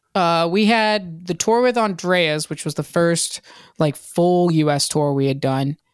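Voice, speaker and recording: On a very clean recording with a silent background, a woman with an American accent uses a normal speaking voice at a fairly slow pace, her fairly low pitch showing ordinary variation. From Virginia (Hampton). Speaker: rock band singer. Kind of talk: casual chat.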